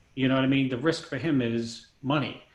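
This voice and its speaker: Audible room echo carries a man's voice, fairly high in pitch, with fairly even intonation. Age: 50s. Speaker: bodybuilding coach. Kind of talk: casual chat.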